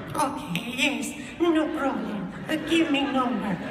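Against loud background noise and a clear echo, a woman speaks at a high pitch. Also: fairly slow pace. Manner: cheerful, slow, confused.

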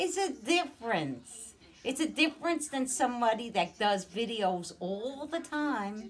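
Over light background noise, a woman speaks at a fairly slow pace, her pitch swinging very widely. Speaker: vlogger. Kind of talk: casual vlog chat. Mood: defiant, animated. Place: home room. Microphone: phone near.

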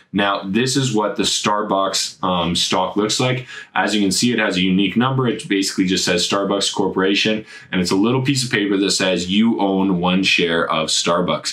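With a plain, everyday voice, a man talks at a moderate pace and fairly low pitch. His pitch variation is ordinary, his loudness very even, and the background quiet. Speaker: online course instructor. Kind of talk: tutorial. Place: home room.

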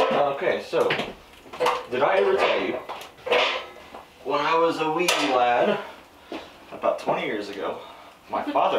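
A man speaking with long, frequent pauses over noticeable background noise. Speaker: historical reenactor in costume. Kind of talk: in-character storytelling dialogue. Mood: playful nostalgic storytelling. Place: kitchen.

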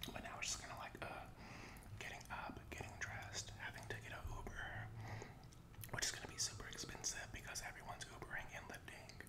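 A man talks fairly quickly with loud background noise around him. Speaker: food vlogger. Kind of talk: casual mukbang vlog chat. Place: home room. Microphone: studio mic.

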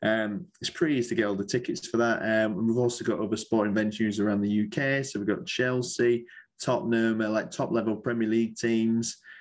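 Against a quiet background, a man with a Yorkshire accent talks at medium pitch and a fairly quick pace, with ordinary pitch variation and hardly any pauses. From northern England (Yorkshire); northern England. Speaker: university recruiter. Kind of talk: presentation at a virtual college fair. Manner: casual, jokey. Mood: relaxed, friendly. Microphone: webcam.

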